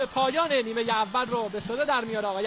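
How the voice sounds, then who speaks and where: Against noticeable background noise, a man talks at a very fast pace. His pitch is extremely high, with ordinary pitch variation. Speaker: football commentator. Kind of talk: live commentary.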